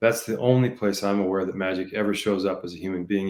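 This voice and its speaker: Using an ordinary speaking voice, a man talks at a fairly quick pace and fairly low pitch on a very clean recording with a silent background. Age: 60s. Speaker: leadership coach. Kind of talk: interview. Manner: frequent fillers like um and you know.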